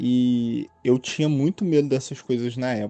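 A man speaks in a Rio de Janeiro accent. He talks at a fairly slow pace with ordinary pitch variation. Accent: Carioca Brazilian Portuguese. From Brazil, Rio de Janeiro. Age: 20s. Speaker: listener sharing a story. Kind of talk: recorded personal story.

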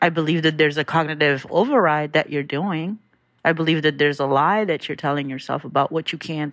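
A woman with a very deep, low pitch talks at a fairly quick pace, her intonation fairly even. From US, Philadelphia. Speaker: listener sharing a message. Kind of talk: voice memo, personal reflection.

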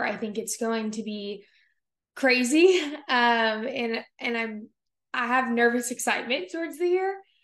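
A woman with an unremarkable speaking voice talks at a fairly high pitch and a fairly slow pace. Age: 20s. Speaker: podcast host. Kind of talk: casual solo monologue.

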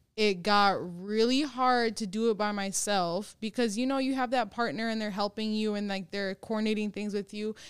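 An American accent marks this woman's ordinary speaking voice, fairly high in pitch. Her intonation is fairly even and her pace moderate. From Minnesota, Brooklyn Center. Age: 20s. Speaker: author. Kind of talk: casual chat.

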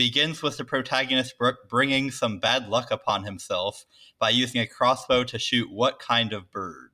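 An American-accented man with an ordinary speaking voice talks at a moderate pace and a medium pitch with ordinary pitch variation, on a very clean recording with a silent background. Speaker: guest quizmaster, actuarial consultant. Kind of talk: quiz reading.

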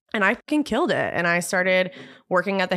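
Words pour out at a very fast pace, and the recording is very clean, its background silent. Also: woman. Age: 20s. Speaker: hairstylist and educator. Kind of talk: casual chat.

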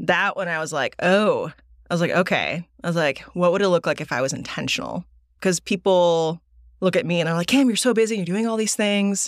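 An unremarkable speaking voice from a woman with an American accent, fairly low in pitch, at a fairly quick pace with ordinary pitch variation, on a very clean recording with a silent background and a dry, close sound with no echo. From Texas. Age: 30s. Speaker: business executive and entrepreneur. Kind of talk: casual interview.

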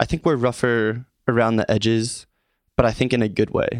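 This man has a normal speaking voice at medium pitch, with an American accent and a moderate pace. The sound is dry and close, with no echo. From Philadelphia area (Norristown, Pennsylvania). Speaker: social media influencer. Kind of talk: interview.

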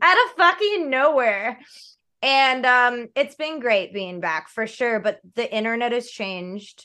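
A loud, animated woman with a bright, sharp tone and a high pitch, very wide pitch swings, a fairly slow pace and a quiet background. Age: 30s. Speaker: gamer, streamer and cosplayer. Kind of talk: casual chat. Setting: video call.

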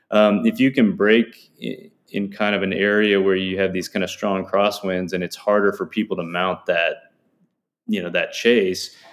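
This man's voice sits fairly low in pitch. He speaks at a moderate pace. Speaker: cycling performance scientist. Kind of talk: interview. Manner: halting.

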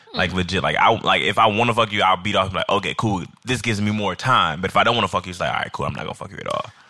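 Noticeable background noise sits behind a man whose fairly low voice moves at a very fast pace with hardly any pauses. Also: ordinary pitch variation. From Chicago, South Side. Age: 30s. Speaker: alcohol writer. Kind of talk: casual chat.

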